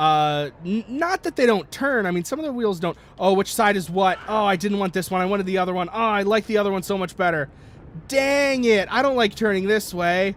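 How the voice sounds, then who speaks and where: A loud man's voice, high-pitched and quick-paced, with lively intonation. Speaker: gaming YouTuber. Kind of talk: let's play commentary. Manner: halting, many fillers and restarts.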